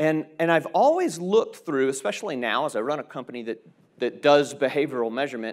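A man speaks against a quiet background. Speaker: keynote speaker. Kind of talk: keynote talk. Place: stage. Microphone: lapel.

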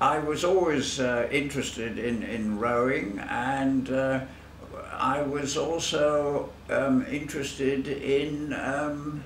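Here a man speaks very slowly at a fairly high pitch, with ordinary pitch variation. Audible room echo and light background noise surround him. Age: 80s+. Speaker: masters athlete; interviewee. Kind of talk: interview. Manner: halting. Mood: relaxed, reminiscing. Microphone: camera far.

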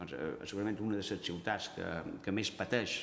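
Audible room echo surrounds a man with a very deep, low voice. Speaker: university geography researcher. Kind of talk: press conference presentation. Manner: halting, many fillers. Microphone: podium.

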